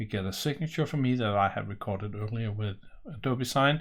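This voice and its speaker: This is a man's voice. He speaks with a Danish accent. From Denmark. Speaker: software presenter; software demonstrator. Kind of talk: tutorial. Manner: casual, with fillers. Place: home room.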